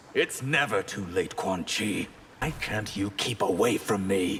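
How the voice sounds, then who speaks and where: Over clear background noise, a man uses a put-on character voice at a fairly low pitch and a fairly slow pace. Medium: video game. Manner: haughty, defiant.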